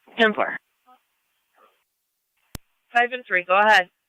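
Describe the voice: Speaking slowly with ordinary pitch variation, a man has a high pitch and a bright, sharp yet clear, smooth tone, recorded with a dry, close sound and no echo.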